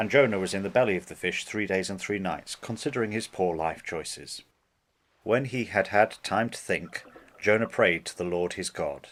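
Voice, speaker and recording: A man with an ordinary speaking voice talks at a fairly low pitch. His pace is moderate, with ordinary pitch variation. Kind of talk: Bible story narration.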